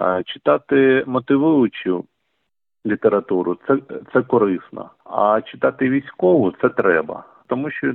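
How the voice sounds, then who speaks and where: Speaking at a fairly slow pace, a man uses a medium-pitched voice. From eastern Ukraine, Donetsk region. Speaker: journalist and volunteer. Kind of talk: interview.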